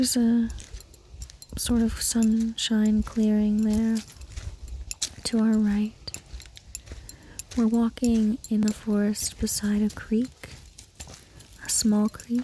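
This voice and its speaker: Over noticeable background noise, a soft-spoken woman with a fairly high pitch talks very slowly in a calm tone, her intonation monotone and flat, her loudness very even, with long, frequent pauses. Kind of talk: ASMR guided nature walk. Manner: calm, slow.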